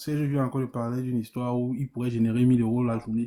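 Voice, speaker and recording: A man with a Cameroonian accent speaks in a dark, mellow tone. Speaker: debate participant. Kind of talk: live debate.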